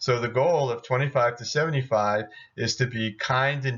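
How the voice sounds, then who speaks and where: Here a man speaks at a moderate pace with fairly even intonation. He has an unremarkable speaking voice. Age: 60s. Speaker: doctor giving health talk. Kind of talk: video lecture with slides. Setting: at home.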